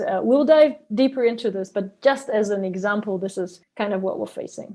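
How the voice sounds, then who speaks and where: Quiet background, a woman speaking, ordinary pitch variation. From Germany. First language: German. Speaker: biogas entrepreneur. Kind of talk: interview podcast.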